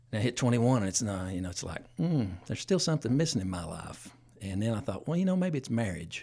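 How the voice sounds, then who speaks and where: A man with an Appalachian accent talks very fast at a medium pitch. His pitch swings very widely. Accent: Southern US (Appalachian). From East Tennessee (Johnson City). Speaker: church deacon and musician. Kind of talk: testimony.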